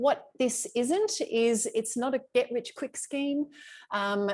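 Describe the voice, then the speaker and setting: There is a quiet background behind this speaker. She talks with an Australian accent. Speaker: travel coach. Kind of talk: live webinar presentation. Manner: fast; loud.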